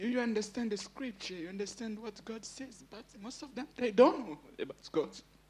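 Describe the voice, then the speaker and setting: Over noticeable background noise, a man with a non-native accent speaks at a moderate pace and a high pitch, with ordinary pitch variation. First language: not English. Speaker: church member giving testimony. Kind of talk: testimony. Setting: church camp gathering with audience. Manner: emotional, laughs often.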